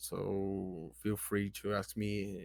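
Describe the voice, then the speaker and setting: A man speaks with a Brazilian Portuguese accent. His voice sits fairly low. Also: very clean recording, silent background. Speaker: person sharing mental health recovery. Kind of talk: casual vlog advice monologue. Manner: halting, with many fillers.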